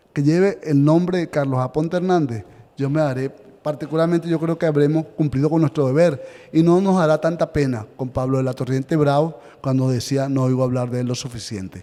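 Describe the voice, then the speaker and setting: A man talks fairly quickly, his pitch fairly high and its variation ordinary. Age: 60s. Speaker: historian and author, seminar lecturer. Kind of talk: lecture. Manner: halting, with frequent repetitions.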